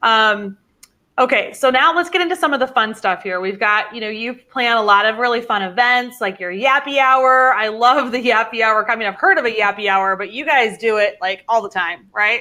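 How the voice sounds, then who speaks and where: With an unremarkable speaking voice, a woman talks at a moderate pace, her pitch fairly high with ordinary variation. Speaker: livestream interview host. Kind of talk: live online interview. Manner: upbeat.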